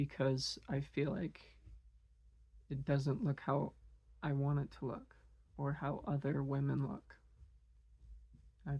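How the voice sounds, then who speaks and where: A woman at a fairly slow pace, with long, frequent pauses and a quiet background. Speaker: vlogger. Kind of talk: personal monologue. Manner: halting.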